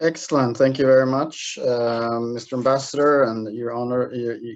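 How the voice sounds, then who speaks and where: A man is speaking. His pitch sits at a medium level. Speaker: investment promotion officer. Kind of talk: webinar presentation. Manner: hesitant, many fillers.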